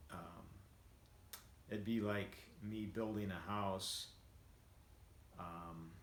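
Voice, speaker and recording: A man talks at a very slow pace, leaving long, frequent pauses. His intonation is fairly even, and room echo is audible. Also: fairly low pitch for a man. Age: 60s. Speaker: vlogger and home builder. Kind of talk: casual monologue. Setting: at home after treadmill walk. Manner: halting, many fillers.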